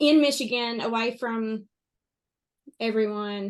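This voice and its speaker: Against a quiet background, a woman with a strong Kentucky accent speaks at a fairly high pitch with ordinary pitch variation. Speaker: interview guest sharing life story. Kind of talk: podcast interview, personal testimony. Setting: podcast recording.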